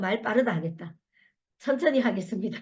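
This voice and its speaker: A woman speaks in an animated tone. Some room echo can be heard. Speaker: network marketing leader giving a talk. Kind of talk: motivational lecture. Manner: fast when passionate.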